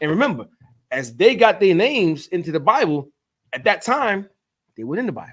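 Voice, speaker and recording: In an animated tone, a man speaks at a fairly quick pace. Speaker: religious teacher leading Sabbath class. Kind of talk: sermon-style class teaching. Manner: stuttering, slips over words; emotional, animated.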